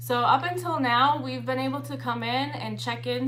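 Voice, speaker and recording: A woman is heard amid noticeable background noise, her voice carrying audible room echo. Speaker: exotic dancer and vlogger. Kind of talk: livestream casual talk. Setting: livestream. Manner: fast; casual, filler-heavy.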